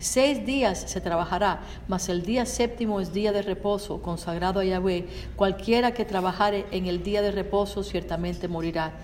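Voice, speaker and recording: Over noticeable background noise, a woman with a medium pitch speaks at a fairly quick pace with fairly even intonation. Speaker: Spanish interpreter. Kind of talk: consecutive interpretation of a sermon.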